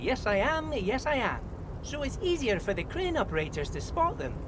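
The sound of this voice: Someone uses a put-on character voice with very wide pitch swings at a moderate pace. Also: man, extremely high pitch for a man.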